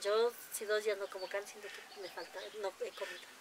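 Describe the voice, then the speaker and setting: Over light background noise, a woman speaks at a fairly quick pace. Her pitch variation is ordinary. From Mexico, Tlaxcala. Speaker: farmer and cooking contest winner. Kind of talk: interview. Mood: warm, cheerful storytelling. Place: farm. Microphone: lapel.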